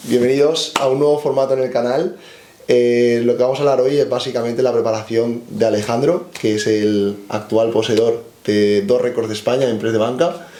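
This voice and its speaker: A man speaks at a moderate pace in a medium pitch with ordinary pitch variation. Room echo is audible. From Spain. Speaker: strength coach. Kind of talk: interview.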